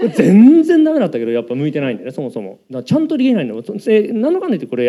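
Talking at a very fast pace, a man barely pauses at all. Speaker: engineering panelist. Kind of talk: live panel talk. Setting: stage with audience.

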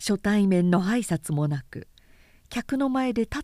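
Lively intonation in a natural reading voice.

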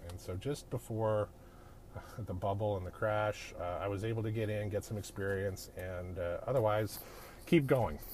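Somewhat breathy and fairly low-pitched, a man with a Canadian accent speaks at a moderate pace with ordinary pitch variation. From Canada (Edmonton, Alberta). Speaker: podcast host, business coach. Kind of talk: solo monologue, personal story. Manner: casual with many fillers.

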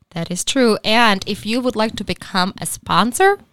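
A woman with a Czech accent and a bright, sharp tone, medium in pitch with ordinary variation, at a fairly slow pace, in a very clean recording with a silent background. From Czech Republic. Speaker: podcast co-host. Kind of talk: casual chat. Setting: studio.

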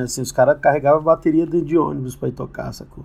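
This man has an ordinary speaking voice, fairly high in pitch and delivered at a fairly quick pace. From Brasília (Ceilândia/Taguatinga). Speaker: musician. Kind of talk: interview.

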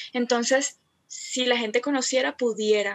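A woman's ordinary speaking voice at a fairly slow pace, with ordinary pitch variation. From Colombia, Cartagena. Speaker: feminist theology content creator. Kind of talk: casual interview chat.

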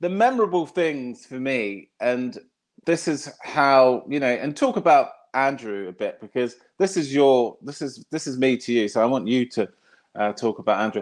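A man's plain, everyday voice, fairly high in pitch, with lively intonation at a moderate pace against a quiet background. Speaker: podcast host. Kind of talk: casual interview chat.

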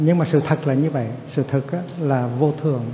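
A man with a fairly high pitch talks at a moderate pace, his intonation fairly even. Audible room echo and noticeable background noise surround his voice. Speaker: Buddhist monk giving a dharma talk. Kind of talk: dharma talk. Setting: temple ceremony with audience.

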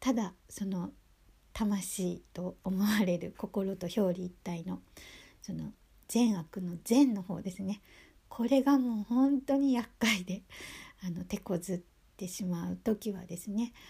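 Speaking at a very slow pace, this voice has a dark, mellow tone and is somewhat breathy, captured in a very clean recording with a silent background. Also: woman, medium pitch for a woman, ordinary pitch variation. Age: 50s. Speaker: podcaster. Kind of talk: religious monologue. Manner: halting.

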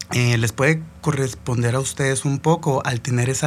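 A man speaks in a somewhat breathy voice. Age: 20s. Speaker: podcast host, cook. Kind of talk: motivational monologue. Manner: casual, halting with fillers.

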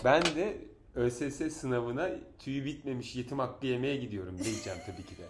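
A man speaks at a medium pitch and moderate pace, sounding somewhat breathy. His intonation is lively, and the room echo is audible. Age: 40s. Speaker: podcast host. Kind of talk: casual chat. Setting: at home.

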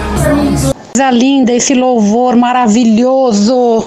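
A woman with fairly even intonation, amid audible room echo and noticeable background noise. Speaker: listener calling in. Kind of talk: voice message to radio show; casual testimony. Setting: recorded voice message.

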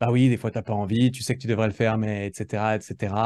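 Over a quiet background, a man with a dark, mellow tone and fairly low pitch speaks at a fairly quick pace. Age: 30s. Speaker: content creator and entrepreneur. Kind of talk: casual interview chat. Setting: video call. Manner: hesitant, many fillers and repetitions.

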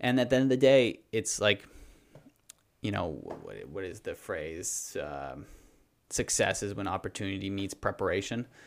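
A man with a Canadian Maritime accent speaks at a moderate pace. His loudness swings a lot on a very clean recording with a silent background. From Nova Scotia, Canada (rural, near Windsor). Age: 30s. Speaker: entrepreneur and endurance athlete. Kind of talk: casual interview chat. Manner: animated.

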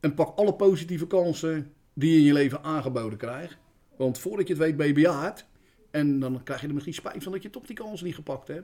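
A man with a fairly high pitch and a dark, mellow tone talks at a fairly quick pace, his pitch varying in an ordinary way while his loudness swings widely. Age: 50s. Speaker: school caretaker. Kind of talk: casual interview.

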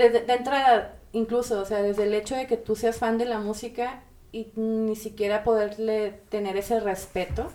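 A woman speaks with a dark, mellow tone at a fairly high pitch. Her intonation is monotone and flat, with hardly any pauses. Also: moderate pace. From Mexico, Monterrey. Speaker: music industry manager and psychologist. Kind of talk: casual interview chat.

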